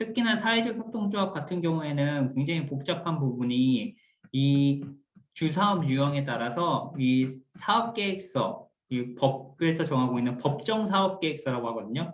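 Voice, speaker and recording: A man's fairly high, somewhat breathy voice moves with lively intonation at a moderate pace. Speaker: cooperative support team leader, instructor. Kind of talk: recorded lecture.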